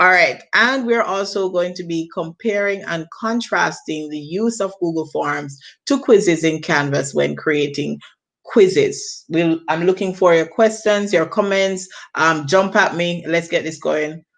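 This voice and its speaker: A woman speaks at a fairly slow pace with a Jamaican accent. Her pitch is fairly low and varies in an ordinary way. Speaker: teacher. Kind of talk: training presentation. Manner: self-correcting.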